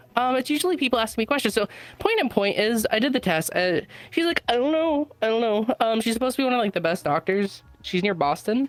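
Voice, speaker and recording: Over noticeable background noise, a woman speaks at a very fast pace with a fairly high pitch, very wide pitch swings and very even loudness, the sound dry and close with no echo. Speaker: stranger chatting on a podcast. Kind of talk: casual chat. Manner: halting, many fillers.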